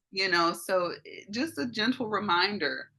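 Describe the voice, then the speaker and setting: Fairly ordinary pitch variation from a woman with a Southern US accent. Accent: Southern American. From US South, Mississippi. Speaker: life coach. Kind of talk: group coaching call. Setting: audio-only video call. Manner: warm, animated.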